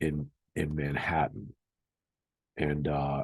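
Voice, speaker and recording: This man has an American accent and a very deep, low pitch. Vocal fry runs through his voice. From Boston area, Massachusetts. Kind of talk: casual educational talk to camera. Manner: hesitant, conversational, many fillers.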